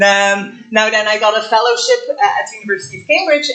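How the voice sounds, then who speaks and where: Over noticeable background noise, the speaker goes at a fairly quick pace with ordinary pitch variation. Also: woman. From Belgium. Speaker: astrophysics professor. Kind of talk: public lecture. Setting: lecture hall with audience. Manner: many filler words (um, uh).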